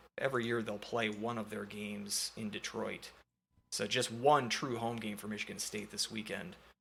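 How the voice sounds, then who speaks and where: A man talks with a Minnesotan accent in a bright, sharp tone. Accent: Minnesota. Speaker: sports podcast host. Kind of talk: casual sports chat. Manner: hesitant, many fillers.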